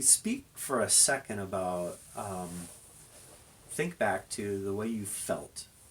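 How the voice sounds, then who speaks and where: A man speaks at a very slow pace. His voice is fairly low, with ordinary pitch variation. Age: 50s. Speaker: interviewer, fitness channel host. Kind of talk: casual interview.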